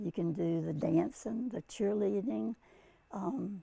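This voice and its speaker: A woman's voice with very wide pitch swings, at a very slow pace. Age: 90s. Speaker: senior athlete and active lifestyle activist. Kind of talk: interview answer. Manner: hesitant, with many fillers.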